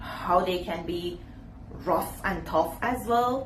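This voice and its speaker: At a fairly slow pace, a woman talks with lively intonation amid audible room echo and noticeable background noise. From Iran. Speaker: YouTuber. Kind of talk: casual vlog talk to camera.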